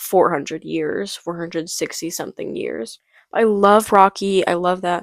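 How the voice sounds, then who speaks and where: At a moderate pace, a woman is heard in a very clean recording with a silent background and a dry, close sound with no echo. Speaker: book vlogger. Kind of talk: casual vlog talk.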